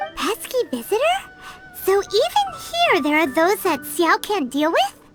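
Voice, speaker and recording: Over clear background music, someone performs a put-on character voice at an extremely high pitch. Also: moderate pace. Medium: machinima. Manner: chirpy, teasing.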